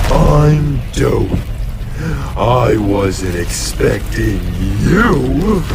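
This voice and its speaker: Over loud background noise, a man uses a put-on character voice at a very slow pace. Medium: machinima. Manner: folksy, friendly.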